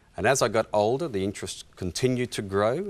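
A man speaks with an Australian accent. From Western Australia, rural. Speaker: historian and author; interview guest. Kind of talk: interview, personal testimony. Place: studio. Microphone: lapel.

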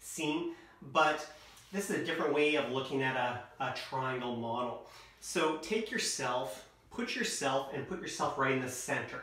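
A man's moderate pace and ordinary pitch variation, with audible room echo. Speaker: presenter or coach. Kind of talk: lecture. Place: home room. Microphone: camera far.

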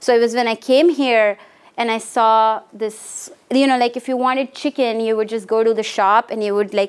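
Fairly even intonation at a moderate pace, in an Indian accent. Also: woman. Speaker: art professor. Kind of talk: lecture. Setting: stage with audience. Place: classroom.

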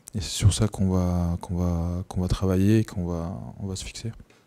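With a dark, mellow tone and very deep, low pitch, a man speaks at a moderate pace in a fairly even intonation, leaving long, frequent pauses. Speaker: rugby player. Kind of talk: post-match interview. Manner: halting. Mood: subdued, reflective. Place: meeting room. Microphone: handheld.

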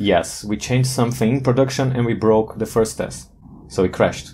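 Speaking at a moderate pace, a man uses a fairly low pitch with a dark, mellow tone and ordinary pitch variation.

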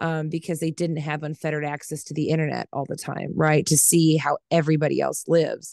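At a fairly quick pace and with hardly any pauses, a woman with an American accent speaks in a very deep, low pitch and monotone, flat intonation, the sound dry with no echo against a quiet background. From Kansas. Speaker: crafter and mother; podcast guest. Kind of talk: casual chat. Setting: video call. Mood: blunt, relaxed, sometimes heated. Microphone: headset.

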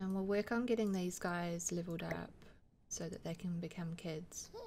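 A woman speaks at a moderate pace in a croaky voice of fairly low pitch. Her tone is slightly mellow and her intonation fairly even.

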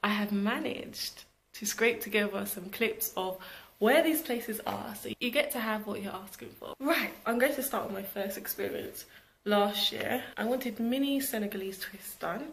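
A woman with a British accent, fairly high-pitched, at a moderate pace with ordinary pitch variation. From Britain. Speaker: vlogger and entrepreneur. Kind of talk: casual vlog talk to camera. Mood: cheerful, animated. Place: home room. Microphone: phone near.

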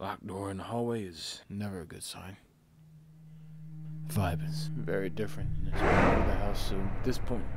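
In a put-on character voice, a man speaks very deep and low with a raspy edge at a moderate pace. His loudness swings widely, and long pauses come often. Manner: excited, then pleading with a ghost.

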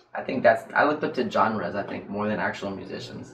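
A man with an American accent talks at a very fast pace, fairly low in pitch and with fairly even intonation. Audible room echo and light background noise are present. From North Carolina. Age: 20s. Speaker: doctoral student and guitarist; guest. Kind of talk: casual interview. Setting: livestream. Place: studio.

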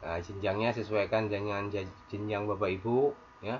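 Delivered at a moderate pace, it is a plain, everyday voice. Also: man. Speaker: teacher tutorial maker. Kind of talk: screen tutorial.

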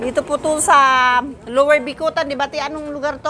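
Raising and projecting her high voice, a woman sounds animated over light background noise. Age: 50s. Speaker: family vlogger. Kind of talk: casual vlog narration. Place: street. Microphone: lapel.

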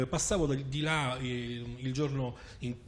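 There is light background noise as a man speaks in a somewhat breathy voice. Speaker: political commentator. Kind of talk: panel debate. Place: studio. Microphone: lapel.

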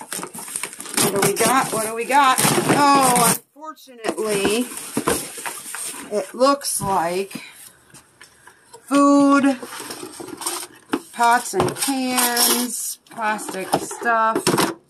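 Against loud background noise, the speech moves at a very slow pace with long, frequent pauses. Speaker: storage unit reseller. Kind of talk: casual vlog chat. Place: garage. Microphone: phone near.

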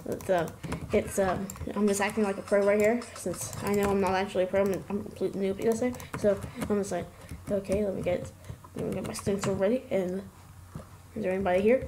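Over noticeable background noise, a woman with a medium pitch talks at a fairly quick pace but with long, frequent pauses. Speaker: gaming youtuber. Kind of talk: casual gameplay commentary. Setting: recorded gameplay voiceover. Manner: excitable, laughs often.

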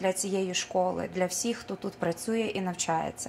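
Light noise runs under this woman's voice. Her intonation is fairly even. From Ukraine, Petrykivka (Dnipropetrovsk region); Ukraine. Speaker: folk artist. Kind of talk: speech at school art show; on-camera self-introduction. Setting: school event, on camera. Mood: warm, formal. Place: hall. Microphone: camera far.

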